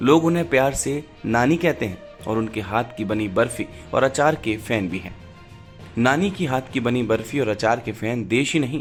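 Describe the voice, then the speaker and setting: A man speaks at medium pitch with lively intonation. Music plays in the background. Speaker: news narrator. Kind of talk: news report narration.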